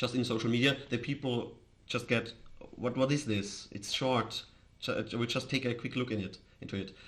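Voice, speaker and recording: A man with an Austrian accent, medium pitch, fairly even intonation and a moderate pace. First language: German. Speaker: crypto streamer. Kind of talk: casual live stream chat. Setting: live stream. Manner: halting, with false starts.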